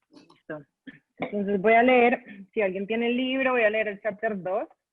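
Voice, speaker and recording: A woman with a normal speaking voice and a fairly high pitch talks at a moderate pace. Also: ordinary pitch variation. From Colombia. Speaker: writer. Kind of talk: panel talk.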